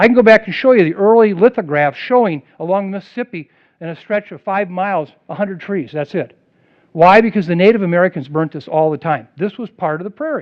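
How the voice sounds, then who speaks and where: An animated man with lively intonation, high pitch, a fairly quick pace and big swings in loudness. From US Midwest. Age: 60s. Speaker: public health expert. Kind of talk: public lecture.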